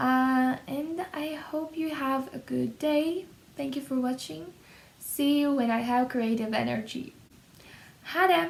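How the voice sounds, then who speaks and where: A woman with a Russian accent speaks in a high pitch. Her intonation is lively, and her pace very slow. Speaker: YouTuber, language learner. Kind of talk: casual vlog talk. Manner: hesitant, with fillers.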